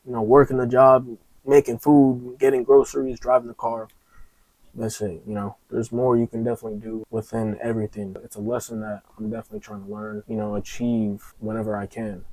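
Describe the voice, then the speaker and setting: A man with a medium pitch and a dark, mellow tone talks at a fairly quick pace with fairly even intonation, recorded dry and close with no echo. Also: big swings in loudness. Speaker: motivational vlogger. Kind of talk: casual motivational talk to camera. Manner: halting, repeats words.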